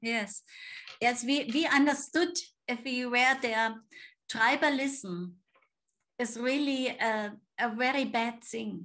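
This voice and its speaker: A woman with a German accent, high-pitched and bright and sharp in tone, very slow with long, frequent pauses and ordinary pitch variation, over a quiet background. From Germany. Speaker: missionary. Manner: halting. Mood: warm, smiling. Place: home room. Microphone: video call.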